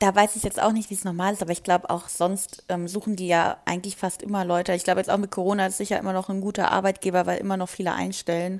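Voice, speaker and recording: Very fast, monotone speech from a woman at medium pitch, flat in intonation, with hardly any pauses. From Germany, Wiesbaden (Hesse). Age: 20s. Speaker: law trainee. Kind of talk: casual chat.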